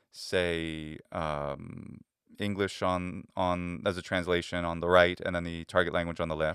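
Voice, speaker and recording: With an American accent, a man speaks very deep and low at a fairly slow pace in a very clean recording with a silent background. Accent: American English, slight diphthong on E. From United States. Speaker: language teacher and YouTuber. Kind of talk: tutorial. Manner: halting, many fillers.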